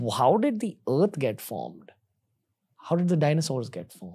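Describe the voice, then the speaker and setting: Against a quiet background, a man with a dark, mellow tone speaks with very wide pitch swings. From India. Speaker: podcast host. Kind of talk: podcast interview; episode intro. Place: studio. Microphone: studio mic.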